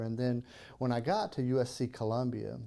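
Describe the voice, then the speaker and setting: In a strong South Carolina accent, a man talks at a moderate pace with a medium pitch and a dark, mellow tone on a very clean recording with a silent background. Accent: Southern (South Carolina), thick. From South Carolina (Kershaw). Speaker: podcast host. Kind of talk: casual interview.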